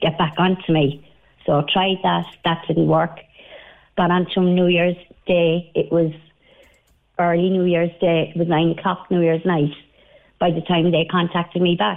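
Speaking in an Irish accent, a woman talks at a fairly slow pace and fairly low pitch, her intonation monotone and flat, her loudness very even, with long, frequent pauses. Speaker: caller, recent hospital patient. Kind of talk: radio phone-in. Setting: phone call.

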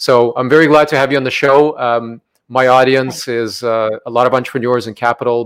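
A man with a plain, everyday voice speaks fairly quickly at a medium pitch, keeping his intonation fairly even. The recording is very clean, with a silent background. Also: dry, close sound with no echo. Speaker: podcast host. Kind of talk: interview.

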